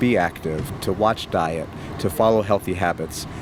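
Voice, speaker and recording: Noticeable background noise behind a man's voice with ordinary pitch variation. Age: 50s. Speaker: VA hospital administrator. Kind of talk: interview. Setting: on location at a veterans hospital. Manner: halting, repeats words.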